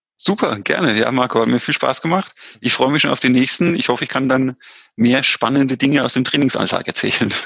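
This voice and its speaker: At a fairly quick pace, a man of medium pitch speaks in a bright, sharp tone with very even loudness. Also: ordinary pitch variation. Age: 30s. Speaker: amateur triathlete. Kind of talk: interview. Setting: remote call. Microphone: headset, choppy connection.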